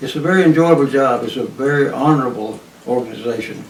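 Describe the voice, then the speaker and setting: A man with an East Texas accent at a medium pitch and fairly quick pace, ordinary pitch variation, noticeable background noise and audible room echo. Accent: East Texas Southern US. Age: 80s+. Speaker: retired highway patrolman. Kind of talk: oral history interview. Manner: halting, many fillers.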